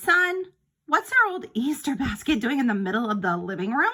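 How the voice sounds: A woman does a put-on character voice, fairly high in pitch with a bright, sharp tone and big pitch swings. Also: moderate pace.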